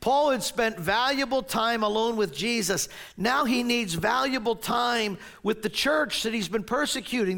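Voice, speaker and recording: An American accent marks this man's animated delivery, high in pitch, bright and sharp in tone, with lively intonation at a moderate pace. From New Jersey. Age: 60s. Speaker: pastor. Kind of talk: sermon.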